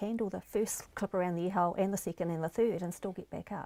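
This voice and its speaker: With a New Zealand accent, a woman speaks at a fairly quick pace in a dark, mellow tone. The sound is dry and close with no echo. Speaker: life coach. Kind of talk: interview.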